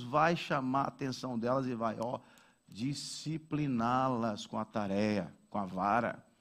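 Heard against a silent background on a very clean recording, a man talks at a very slow pace. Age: 40s. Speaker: pastor. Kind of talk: sermon.

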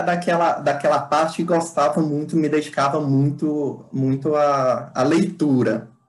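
Fairly high-pitched male speech, delivered at a fairly slow pace. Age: 20s. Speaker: civil engineer and public servant. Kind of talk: interview answers. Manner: halting, many fillers and repetitions.

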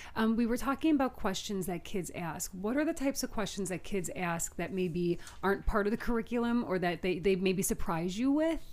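Here is an ordinary speaking voice, a woman at medium pitch with lively intonation. She goes at a fairly quick pace with hardly any pauses. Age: 30s. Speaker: podcast host. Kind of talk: casual chat.

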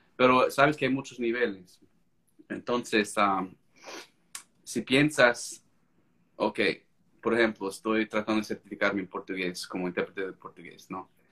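With an American accent, a man speaks at a fairly slow pace and medium pitch, using a bright, sharp tone and ordinary pitch variation. Long, frequent pauses break up his speech, and his loudness swings a lot. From United States. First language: English (speaking Spanish). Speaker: court interpreter and language-learning author. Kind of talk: casual interview on a live stream. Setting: video live stream.

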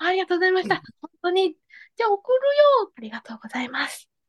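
A woman speaks at an extremely high pitch and a very fast pace. The sound is dry and close, with no echo. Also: big swings in loudness. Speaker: podcast guest. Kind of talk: casual chat.

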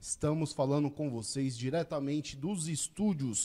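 A man with a fairly high voice speaks fairly slowly, his pitch varying in an ordinary way. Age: 40s. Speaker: podcast host. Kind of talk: casual chat. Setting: studio. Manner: animated.

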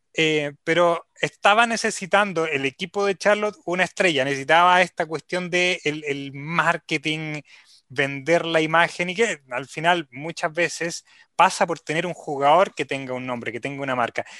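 Against a quiet background, a man speaks at a moderate pace in a fairly high, bright, sharp voice. His pitch varies in an ordinary way, and the sound is dry and close with no echo. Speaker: sports radio host. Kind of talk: casual chat.

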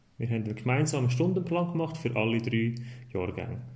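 A man's somewhat breathy, medium-pitched voice with ordinary pitch variation and audible room echo. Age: 30s. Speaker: primary school teacher, media education advisor. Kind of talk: casual interview.

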